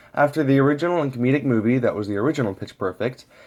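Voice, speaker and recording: Speaking at a very fast pace, a man varies his pitch in an ordinary way. The background is silent and the recording very clean. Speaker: amateur movie reviewer. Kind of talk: scripted movie review. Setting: low-quality home microphone. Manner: some stuttering.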